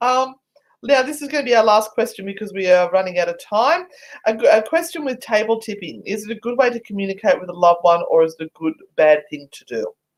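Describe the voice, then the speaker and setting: The speaker races along at a very fast pace in an Australian accent, with very wide pitch swings. The loudness rises and falls in big swings. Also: woman, fairly high pitch for a woman. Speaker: paranormal investigator. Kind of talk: casual chat.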